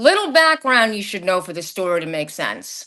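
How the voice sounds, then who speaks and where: Against a quiet background, a woman with a slight Long Island accent talks at a moderate pace and medium pitch, her bright, sharp tone carried by lively intonation. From Long Island, New York. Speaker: podcast guest sharing paranormal experiences. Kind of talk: casual chat, personal storytelling. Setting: live stream.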